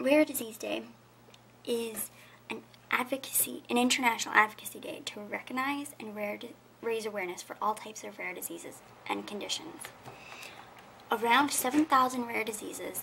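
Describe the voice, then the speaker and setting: A woman's fairly high voice with ordinary pitch variation, big swings in loudness, a moderate pace and long, frequent pauses, over light background noise. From Canada. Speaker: video blogger, rare disease advocate; awareness vlogger. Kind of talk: casual vlog, awareness message. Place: home room. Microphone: webcam.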